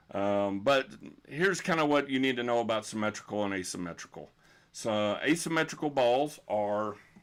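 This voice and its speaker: A man talks in a Texan accent at medium pitch and a moderate pace, with lively intonation. The recording is very clean, the background silent. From Texas. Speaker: bowling coach. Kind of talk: live stream Q&A. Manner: unscripted, hesitant with fillers.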